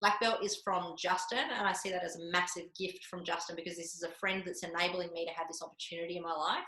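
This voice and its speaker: Delivered at a very fast pace, this woman's fairly low, monotone, flat voice comes in an Australian accent. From Australia, Canberra. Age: 40s. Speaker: martial arts instructor. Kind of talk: podcast interview. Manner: casual, filler-heavy.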